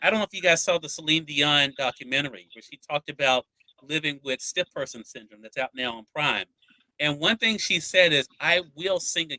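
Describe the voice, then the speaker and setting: Bright and sharp in tone, a man with a Mississippi accent speaks at a fairly quick pace and fairly high pitch, with ordinary pitch variation, big swings in loudness, and a dry, close sound with no echo. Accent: Southern US (Mississippi). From Mississippi, US South. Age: 40s. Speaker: interviewer and author. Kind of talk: interview.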